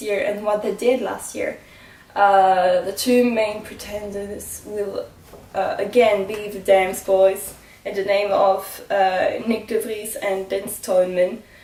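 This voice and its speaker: A woman with a non-native accent and medium pitch talks with fairly even intonation, with audible room echo and noticeable background noise. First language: not English. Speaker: motorsport vlogger. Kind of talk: casual vlog commentary. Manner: halting, many fillers.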